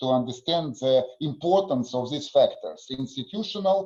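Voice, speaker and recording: The speaker is a man with a Russian accent. He talks at a moderate pace with ordinary pitch variation. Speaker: conference session chair. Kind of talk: conference moderation. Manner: halting.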